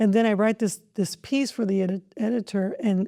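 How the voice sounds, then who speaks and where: In a Spanish accent, a woman with a dark, mellow tone talks at a fairly quick pace and fairly high pitch, with fairly even intonation, on a very clean recording with a silent background and a dry, close sound with no echo. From Mexico (Jalisco family), raised in southern California. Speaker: school district superintendent. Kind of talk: podcast interview.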